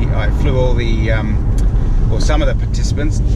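A man speaks at a fairly quick pace. Loud background noise fills the recording. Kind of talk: casual vlog chat. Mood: relaxed, jokey. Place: car. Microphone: phone near.

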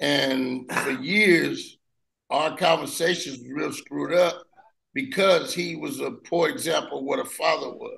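Against a quiet background, a man speaks at a fairly slow pace. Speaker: formerly incarcerated person. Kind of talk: support group sharing. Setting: in-person group. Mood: reflective, emotional family story. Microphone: video call.

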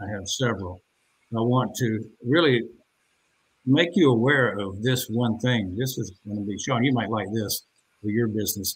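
A man with a somewhat breathy voice at a medium pitch talks at a moderate pace, with ordinary pitch variation and long, frequent pauses. Light background noise is present. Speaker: podcast host. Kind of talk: promotional pitch. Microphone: video call.

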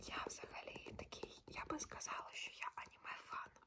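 A woman whispers at a fairly slow pace. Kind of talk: ASMR casual talk to camera about books. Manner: whispered, soft-spoken.

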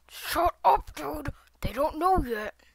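A put-on character voice sounds strained and sits at a high pitch.

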